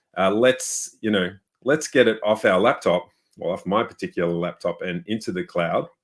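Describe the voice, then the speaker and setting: A man speaks with an Australian accent in a fairly low voice. His intonation is lively and his pace moderate. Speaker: software developer. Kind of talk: webinar chat. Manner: casual, many fillers.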